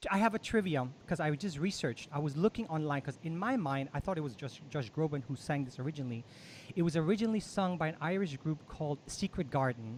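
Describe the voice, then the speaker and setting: Very fast and animated in tone, a man speaks at a fairly high pitch with lively intonation. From Denmark, Copenhagen. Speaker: musician and show host. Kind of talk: casual interview chat. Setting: live video stream.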